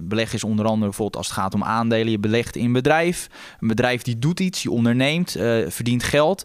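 Using a normal speaking voice, a man talks at a medium pitch with lively intonation. His pace is fairly quick. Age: 20s. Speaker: stock analyst. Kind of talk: casual chat.

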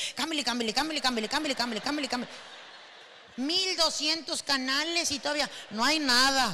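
A woman's high-pitched, raised, projected voice, animated in tone, with ordinary pitch variation at a moderate pace. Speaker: comedian. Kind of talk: stand-up.

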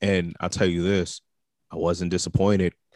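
This man's voice has a very deep, low pitch and monotone, flat intonation. The recording is very clean and dry, close with no echo, over a silent background. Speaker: podcast co-host. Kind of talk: casual sports banter podcast.

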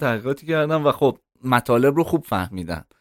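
A man's medium pitch at a fairly quick pace, a plain, everyday voice, on a very clean recording with a silent background. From Iran, Tehran. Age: 30s. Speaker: content strategist. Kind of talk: interview.

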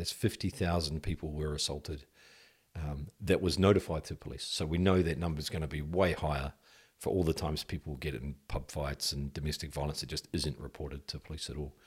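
A man talks with a very deep, low pitch, fairly even intonation and vocal fry. The recording is very clean, with a silent background. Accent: New Zealand. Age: 50s. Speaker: former police detective. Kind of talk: casual interview.

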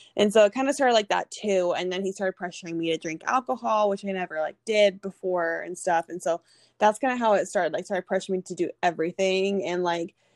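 Against a quiet background, a woman with a Californian accent talks at a very fast pace in a medium pitch with ordinary pitch variation. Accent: Californian American English. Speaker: former college tennis player and abuse survivor. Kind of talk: personal testimony in an interview. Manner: casual, lots of filler words.

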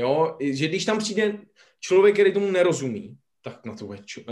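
A man with vocal fry, very wide pitch swings, and a moderate pace. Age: 30s. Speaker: podcast co-host. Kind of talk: casual podcast interview.

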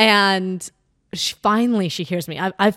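An ordinary speaking voice at a moderate pace comes through dry and close with no echo, on a very clean recording with a silent background. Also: woman. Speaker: podcast co-host. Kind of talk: casual chat.

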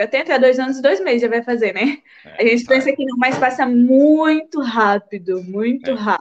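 This woman has a high-pitched voice with ordinary pitch variation. She talks at a fairly quick pace. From Brazil, Espírito Santo (São Mateus). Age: 20s. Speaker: Instagram creator and immigrant. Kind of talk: casual interview on a live stream.

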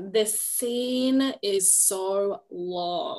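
A bright, sharp tone with an Australian accent and lively intonation. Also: woman. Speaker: podcast co-host. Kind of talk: casual chat.

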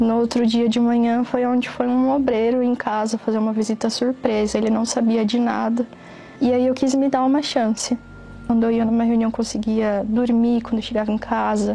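Over noticeable background noise, a woman speaks in a monotone with flat intonation and very even loudness. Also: fairly high pitch for a woman, moderate pace. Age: 20s. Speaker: photographer giving a religious testimony. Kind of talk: testimony.

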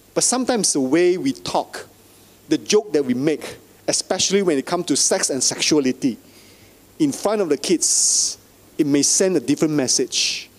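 A man's high voice with very wide pitch swings and very even loudness at a moderate pace, against noticeable background noise. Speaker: pastor. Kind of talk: sermon. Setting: church.

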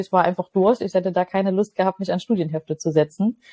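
With a dark, mellow tone and ordinary pitch variation, a woman talks at a very fast pace in a dry, close sound with no echo. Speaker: life and leadership coach. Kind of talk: interview.

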